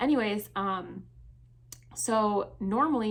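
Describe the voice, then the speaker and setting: A woman with an American accent. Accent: Midwestern, some viewers hear it as thick. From Michigan, US Midwest. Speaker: fashion and subscription box vlogger. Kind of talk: casual Q&A vlog.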